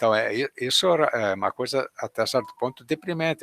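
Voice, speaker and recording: A medium-pitched man with a bright, sharp tone, lively intonation and a moderate pace, in a dry, close sound with no echo. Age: 80s+. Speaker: event moderator. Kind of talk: online talk Q&A.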